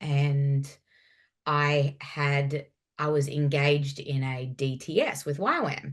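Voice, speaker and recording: A woman with a strong Australian accent speaks at a very slow pace in a very deep, low voice. Her intonation is monotone and flat against a quiet background. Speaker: former youth pastor. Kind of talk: interview conversation.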